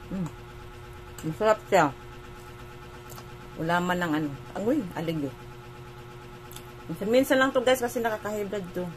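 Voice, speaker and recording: Over noticeable background noise, a woman's voice moves in very wide pitch swings, broken by long, frequent pauses. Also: medium pitch for a woman, moderate pace. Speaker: vlogger. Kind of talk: casual vlog chat.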